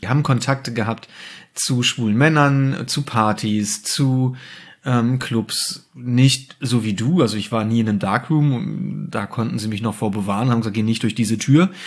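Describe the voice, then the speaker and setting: Against a quiet background, a man with a normal speaking voice talks at a moderate pace, his medium pitch showing ordinary variation. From Germany, rural village. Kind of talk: casual chat. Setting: home dining room.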